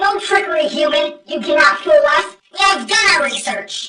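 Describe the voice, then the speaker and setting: At a moderate pace, a high-pitched put-on character voice moves through very wide pitch swings with a slight echo. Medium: fan dub. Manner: formal, stiff, lofty.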